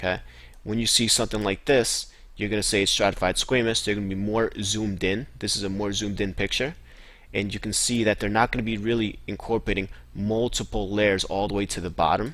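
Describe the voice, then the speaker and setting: A man talks at a fairly quick pace with a fairly low pitch. His intonation is fairly even. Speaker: student tutor reviewing histology slides. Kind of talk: tutorial. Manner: fast; casual, with fillers.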